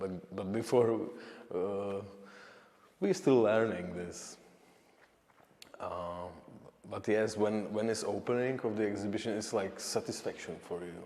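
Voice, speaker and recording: A man with a Czech accent and a fairly low pitch, ordinary pitch variation, long and frequent pauses, and audible echo in the room. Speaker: painter. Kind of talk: interview. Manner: halting.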